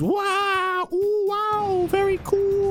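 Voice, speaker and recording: A man with music in the background. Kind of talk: video essay narration. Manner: fast; casual, joking.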